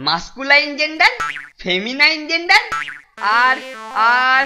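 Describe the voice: A high-pitched, cartoonish character voice at a moderate pace, with sound effects in the background.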